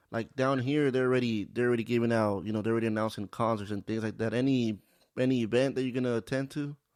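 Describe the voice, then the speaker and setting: A man speaks at a medium pitch, at a very fast pace. His intonation is fairly even, and the background is quiet. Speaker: podcast host. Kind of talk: casual interview. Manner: halting, many fillers.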